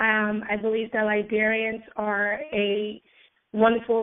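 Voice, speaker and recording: Her fairly high pitch stays in a monotone, flat intonation as the woman speaks. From Liberia. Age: 30s. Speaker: graduate student and peace activist. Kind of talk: call-in radio interview. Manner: hesitant, many fillers.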